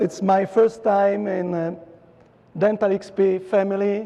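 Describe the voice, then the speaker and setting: This man talks in a high, flat monotone with an Italian accent. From Italy (Rome). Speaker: dentist lecturer. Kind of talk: lecture. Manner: hesitant with many fillers.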